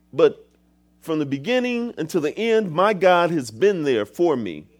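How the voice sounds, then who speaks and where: A man with a normal speaking voice talks at a moderate pace with lively intonation. The recording is very clean, with a silent background. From Michigan, US. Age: 50s. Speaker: guest pastor. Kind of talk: sermon. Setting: church.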